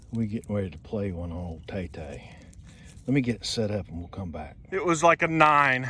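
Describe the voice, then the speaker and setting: Animated and fairly quick, a man with a Southern US accent uses a bright, sharp tone at a fairly low pitch with very wide pitch swings. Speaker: metal detecting relic hunter. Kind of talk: casual outdoor vlog narration. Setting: outdoors. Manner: whispering.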